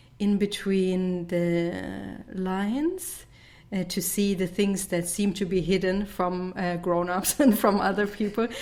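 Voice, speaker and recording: Speaking at a very slow pace, a woman uses a medium pitch and fairly even intonation. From southern Germany. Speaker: sound healer and musician. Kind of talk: podcast interview. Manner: halting.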